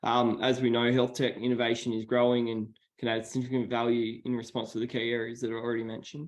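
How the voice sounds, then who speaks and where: Delivered very fast in an Australian accent, the speech runs in a flat monotone. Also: man, medium pitch for a man. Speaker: meeting participant asking about health tech. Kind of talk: online meeting question.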